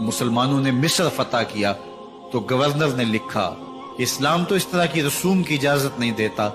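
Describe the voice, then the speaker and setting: With music playing behind him, a man speaks at a medium pitch with lively intonation and very even loudness. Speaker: Islamic preacher delivering a bayan. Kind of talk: emotional religious sermon (bayan) telling stories of a caliph. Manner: passionate, dramatic, with exclamations.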